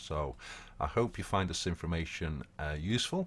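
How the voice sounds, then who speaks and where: A man's very deep, low voice with vocal fry and ordinary pitch variation. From Portugal. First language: Portuguese. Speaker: crypto trading community educator. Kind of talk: casual Q&A talk. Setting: voice-only online group call.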